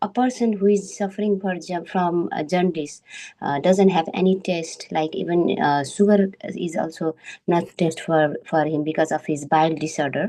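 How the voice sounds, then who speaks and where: A woman speaks at a moderate pace in a fairly low pitch. Her tone is dark and mellow, with ordinary pitch variation. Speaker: member of a scripture study group. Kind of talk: scripture study presentation. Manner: halting, many fillers.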